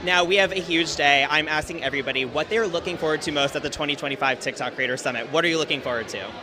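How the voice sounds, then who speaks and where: Over noticeable background noise, a fairly high-pitched man with an American accent talks at a very fast pace with hardly any pauses and ordinary pitch variation. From New York. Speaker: event host. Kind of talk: live event interviews. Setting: live event backstage. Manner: animated.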